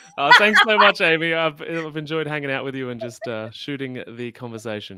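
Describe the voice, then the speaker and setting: Speaking fairly quickly in an Australian accent, a man uses lively intonation at a fairly high pitch, his loudness swinging widely over noticeable background noise. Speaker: health podcaster. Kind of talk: interview on a live stream.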